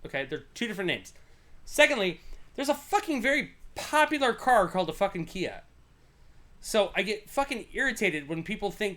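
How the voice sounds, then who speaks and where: A man with an American accent mumbles at a moderate pace, his high-pitched voice bright and sharp in tone, with very wide pitch swings. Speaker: podcast host. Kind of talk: casual chat. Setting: livestream. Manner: mumbling.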